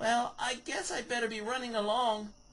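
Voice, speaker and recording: With light background noise behind it, a put-on character voice speaks at a fairly high pitch and a moderate pace. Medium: read story.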